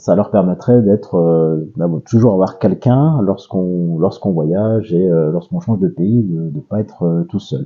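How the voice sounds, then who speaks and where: A man talks fairly slowly, his intonation lively. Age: 40s. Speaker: father of twins, interviewee. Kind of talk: casual interview. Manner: hesitant, many fillers.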